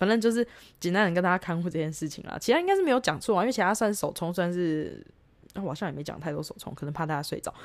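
A woman with a fairly low pitch talks very fast, her pitch varying in an ordinary way. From Taiwan. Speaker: travel podcaster, backpacker. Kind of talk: casual solo monologue. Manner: hesitant, many fillers.

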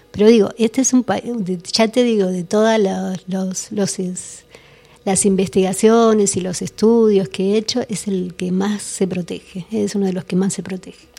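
Here is a woman with a plain, everyday voice and a medium pitch. Her pace is fairly slow and her intonation fairly even. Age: 50s. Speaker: researcher and author on esoteric history. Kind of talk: radio interview.

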